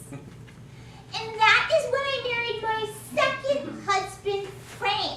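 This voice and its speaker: Very slowly, a woman performs a squeaky, put-on character voice at an extremely high pitch with lively intonation. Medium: stage play. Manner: chatty, brassy.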